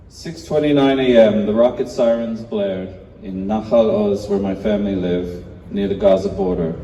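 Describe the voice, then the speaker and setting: At a moderate pace, a man speaks fairly low in pitch with ordinary pitch variation. Room echo can be heard. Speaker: hostage family member, campaigner. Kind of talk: rally speech. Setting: memorial rally with audience.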